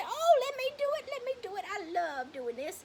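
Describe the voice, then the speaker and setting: Using a put-on character voice, a woman sounds squeaky at an extremely high pitch, with very wide pitch swings and big swings in loudness. Her pace is moderate, and background noise is clearly heard. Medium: stage play. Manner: sweet, doting.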